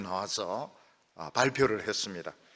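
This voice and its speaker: A man talks with a bright, sharp tone and vocal fry. His pitch swings very widely. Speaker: pastor. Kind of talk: sermon. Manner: frequent filler sounds.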